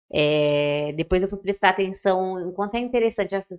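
A woman with an ordinary speaking voice talks at a moderate pace and medium pitch. Her intonation is fairly even. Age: 30s. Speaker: podcast co-host. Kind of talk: casual chat.

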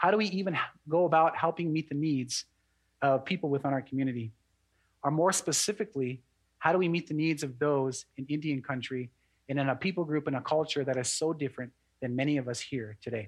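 A normal speaking voice from a man, fairly high in pitch with ordinary pitch variation, at a fairly quick pace. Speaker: pastor. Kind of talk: sermon.

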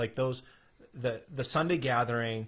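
The recording is very clean, with a silent background. A man speaks at a fairly slow pace in a somewhat breathy voice. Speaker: pastor. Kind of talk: casual chat. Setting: live stream.

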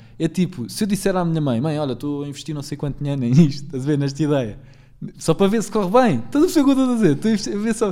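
A very fast man's voice in a European Portuguese accent, dark and mellow in tone, fairly high in pitch, with very wide pitch swings. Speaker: podcast host. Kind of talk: casual chat.

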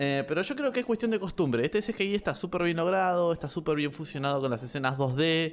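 Lively in intonation, a man talks at a fairly quick pace with hardly any pauses, fairly high pitch and very even loudness. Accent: Rioplatense. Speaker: podcast co-host. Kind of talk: casual chat.

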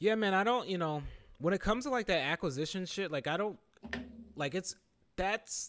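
Here a man speaks with an American accent. His pitch swings very widely. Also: very clean recording, silent background. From Philadelphia area, Pennsylvania. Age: 30s. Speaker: gaming podcast host. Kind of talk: casual chat.

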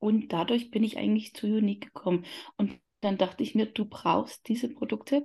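A woman's somewhat breathy voice at a moderate pace, with ordinary pitch variation over a quiet background. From Upper Palatinate, Bavaria. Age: 40s. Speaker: coaching client, mother of three. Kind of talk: interview.

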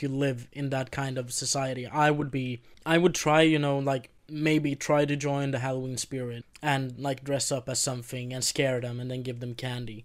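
Over a silent background in a very clean recording, a man speaks at a medium pitch with monotone, flat intonation. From Sweden. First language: Swedish. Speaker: podcast co-host. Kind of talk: casual chat.

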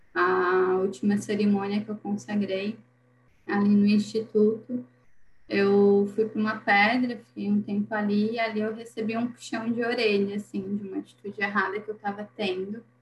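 A woman speaks in a somewhat breathy voice at a medium pitch. Her intonation is monotone and flat. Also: moderate pace. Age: 20s. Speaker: holistic therapist. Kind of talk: casual chat.

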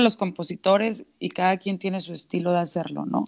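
A woman's normal speaking voice at a medium pitch, in a very clean recording with a silent background and a dry, close sound with no echo. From Mexico, Monterrey (Nuevo León). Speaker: singer-songwriter. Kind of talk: casual interview.

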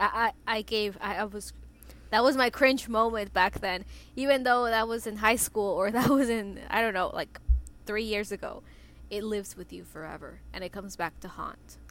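Fairly high female voice in a Spanish accent, moderate in pace, fairly even in intonation, with big swings in loudness on a very clean recording with a silent background. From southern Mexico. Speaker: podcast co-host. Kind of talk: casual chat. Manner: halting.

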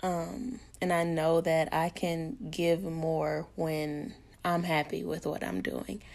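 A woman with an American accent speaks at a very slow pace, her pitch fairly low with ordinary variation. The recording is very clean, with a silent background. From Arkansas, US South. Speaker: podcast host. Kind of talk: solo podcast monologue.

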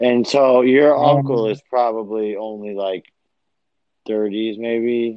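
A man at medium pitch speaks with fairly even intonation. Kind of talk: casual chat. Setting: headphones, remote call. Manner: halting, filler words.

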